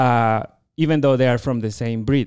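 A man with a Chilean accent speaks at a moderate pace in a medium pitch, his tone dark and mellow and his intonation fairly even, on a very clean recording with a silent background. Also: dry, close sound with no echo. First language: Spanish. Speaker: veterinarian and dairy researcher. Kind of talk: interview.

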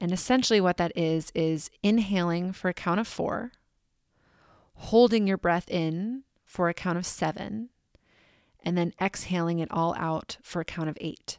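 A woman with a plain, everyday voice speaks with ordinary pitch variation. The sound is dry and close, with no echo. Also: fairly low pitch for a woman, very clean recording, silent background. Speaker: podcast host. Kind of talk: guided meditation. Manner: slow, calm, soothing; gentle, measured pacing with pauses.

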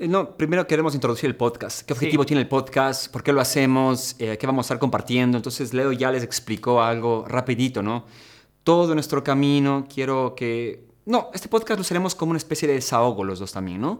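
With a normal speaking voice, a man talks at a fairly quick pace in a medium pitch with ordinary pitch variation, on a very clean recording with a silent background. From Ecuador. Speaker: fitness content creator. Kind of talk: casual podcast chat.

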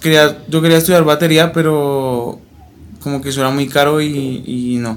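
Here a man speaks at a fairly slow pace. His pitch is fairly high and his intonation fairly even. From Colombia, Bogotá. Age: 20s. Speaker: journalism student and rapper. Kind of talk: interview.

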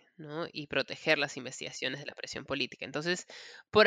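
A woman's voice with a bright, sharp tone, heard dry and close with no echo. The recording is very clean, with a silent background. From Peru. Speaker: author and human rights lawyer. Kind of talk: interview. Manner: halting.

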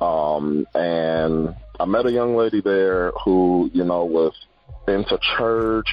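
Over noticeable background noise, a man with an American accent and a very deep, low pitch speaks at a very slow pace, with ordinary pitch variation and very even loudness. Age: 30s. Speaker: divorced father interviewed about relationships. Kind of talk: interview.

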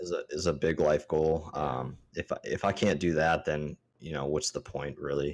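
A man with an American accent speaks at a moderate pace, his pitch very deep and low. His intonation stays fairly even, with vocal fry throughout. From Maryland, US. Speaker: podcast co-host. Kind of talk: casual chat. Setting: video call.

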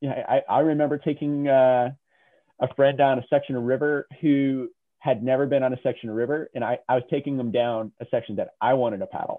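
At a fairly quick pace, a man with a plain, everyday voice talks in a fairly high pitch with fairly even intonation. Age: 40s. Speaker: kayaking instructor. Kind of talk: interview.

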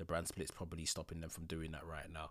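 A London accent comes through on a very clean recording with a silent background. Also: man. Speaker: podcast host. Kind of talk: casual chat. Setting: home recording.

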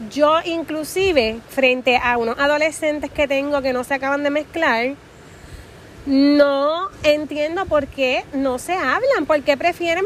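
Animated in tone, a woman speaks at a high pitch. Her pace is fairly slow, with ordinary pitch variation. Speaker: podcast host. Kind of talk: casual motivational monologue. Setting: outdoors at the beach.

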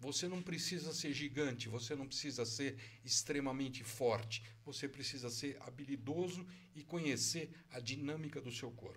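A man with an unremarkable speaking voice talks at a moderate pace and fairly high pitch, with ordinary pitch variation. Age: 60s. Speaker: jiu-jitsu master. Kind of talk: casual interview.

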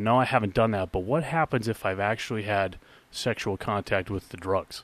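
With a plain, everyday voice, a man speaks at a fairly low pitch with ordinary pitch variation in a dry, close sound with no echo. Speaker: podcast co-host. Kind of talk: casual chat.

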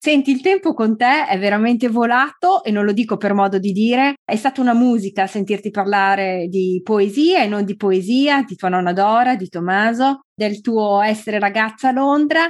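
A woman has an ordinary speaking voice, fairly high in pitch with ordinary pitch variation. She keeps a moderate pace with hardly any pauses against a quiet background. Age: 40s. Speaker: podcast host. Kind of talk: scripted introduction; interview.

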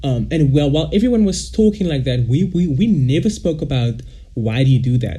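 A man with a fairly high pitch talks at a fairly quick pace with lively intonation. Audible room echo is present. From South Africa, Cape Town. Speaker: podcast co-host. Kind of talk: casual chat.

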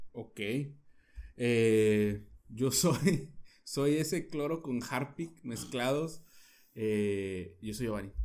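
A man speaks at a very slow pace with long, frequent pauses, his medium-pitched voice carrying lively intonation. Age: 30s. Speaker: podcast co-host. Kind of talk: casual chat.

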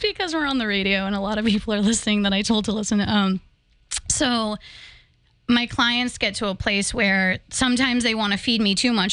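A woman speaks with a fairly high pitch. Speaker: psychic medium. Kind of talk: radio interview. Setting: radio studio. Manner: fast.

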